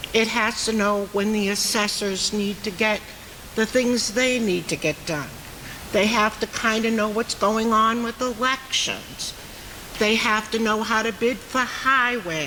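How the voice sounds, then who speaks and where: A woman with an American accent talks at a fairly slow pace and fairly high pitch, her intonation fairly even. Audible room echo and noticeable background noise are present. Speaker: town resident speaking at meeting. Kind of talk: public meeting comment. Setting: town meeting hall with audience. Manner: loud.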